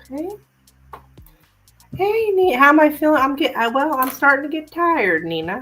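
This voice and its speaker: With music in the background, a woman speaks at a high pitch with very wide pitch swings and long, frequent pauses. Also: moderate pace. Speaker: tarot reader. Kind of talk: live stream reading chat.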